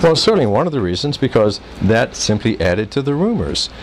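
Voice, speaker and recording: Noticeable background noise sits under a man with an American accent who talks at a fairly quick pace with very wide pitch swings. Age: 60s. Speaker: expatriate businessman. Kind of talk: interview answer.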